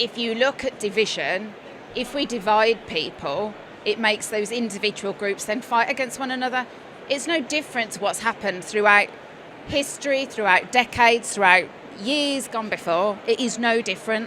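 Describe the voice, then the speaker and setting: At a moderate pace, a woman with a slight Birmingham accent speaks with ordinary pitch variation. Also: fairly high pitch for a woman. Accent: slight Birmingham (Brummie). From West Midlands, England (Birmingham/Worcestershire). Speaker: coach and former nurse. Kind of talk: casual chat. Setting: studio at live trade show.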